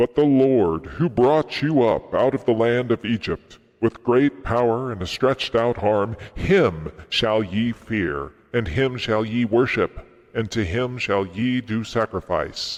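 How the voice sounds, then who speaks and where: A man puts on a character voice at medium pitch. He speaks at a fairly slow pace. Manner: booming, authoritative.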